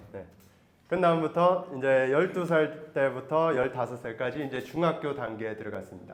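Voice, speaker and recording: With a normal speaking voice, a man talks at a moderate pace in a fairly high pitch, ordinary pitch variation and big swings in loudness. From Taiwan, raised by Korean missionary parents. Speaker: missionary. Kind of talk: testimony.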